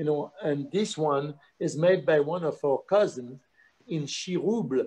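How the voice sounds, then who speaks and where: A man with a French accent talks at a moderate pace with ordinary pitch variation. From France, Lyon area. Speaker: chef and restaurant owner. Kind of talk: casual chat.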